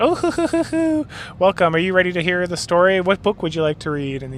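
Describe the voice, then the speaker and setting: Over clear background noise, a man puts on a character voice, high-pitched for a man and delivered at a very fast pace. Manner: cackling.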